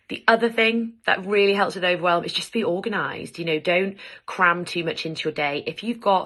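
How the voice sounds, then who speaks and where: In an English accent, a woman speaks fairly quickly with a bright, sharp tone and ordinary pitch variation over a quiet background. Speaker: lawyer and mental health vlogger. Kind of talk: advice vlog. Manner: fast.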